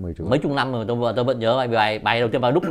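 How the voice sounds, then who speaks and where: The talking is very fast. It comes from a man. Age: 60s. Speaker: poet. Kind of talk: interview. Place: home room. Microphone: lapel.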